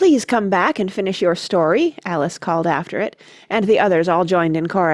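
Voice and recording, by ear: The pitch moves with ordinary variation. It is reading aloud in a natural voice.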